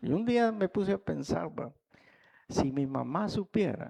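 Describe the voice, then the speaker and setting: Over a quiet background, a man with a Salvadoran accent speaks fairly slowly in a dark, mellow tone with very wide pitch swings, the sound dry and close with no echo. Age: 70s. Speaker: pastor. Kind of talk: sermon.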